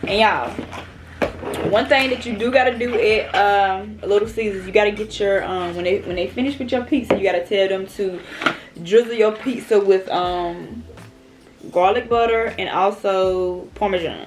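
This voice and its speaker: Long, frequent pauses break up speech with ordinary pitch variation, with noticeable background noise behind it. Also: woman, medium pitch for a woman, moderate pace. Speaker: mukbang YouTuber. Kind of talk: casual chat while eating. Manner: loud.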